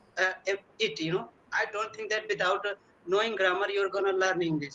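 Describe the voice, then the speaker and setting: In a raised, projected voice, a man speaks at a high pitch. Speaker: English learner. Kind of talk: conversation practice interview. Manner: fast; halting, many fillers.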